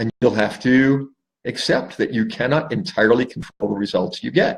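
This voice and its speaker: Speaking fairly slowly with vocal fry, a man swings his pitch very widely. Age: 60s. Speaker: life coach. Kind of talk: solo talk to camera. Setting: Facebook live stream.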